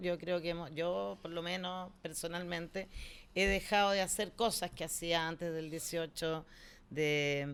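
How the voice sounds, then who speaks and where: On a very clean recording with a silent background, a woman speaks fairly slowly at a fairly low pitch with fairly even intonation. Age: 60s. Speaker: cultural center director. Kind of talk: interview conversation. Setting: studio. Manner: halting.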